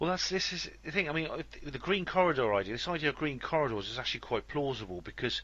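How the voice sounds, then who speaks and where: Over noticeable background noise, a man with a Welsh accent and a fairly high voice talks very fast, his pitch swinging very widely. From West Wales. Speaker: podcast host. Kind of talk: interview. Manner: hesitant.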